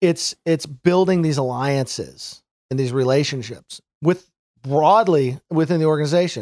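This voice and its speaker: Fairly high male voice with ordinary pitch variation, dry and close with no echo, on a very clean recording with a silent background. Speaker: sales executive. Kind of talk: interview. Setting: at home. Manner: halting.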